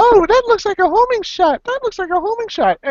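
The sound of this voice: Someone uses a put-on character voice of extremely high pitch at a fairly quick pace.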